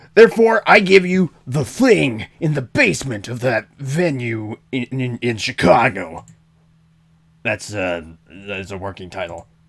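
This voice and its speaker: A raspy, put-on character voice from a man, medium in pitch, with very wide pitch swings, big swings in loudness and a fairly slow pace, on a very clean recording with a silent background. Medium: game stream. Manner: wry, deadpan storytelling.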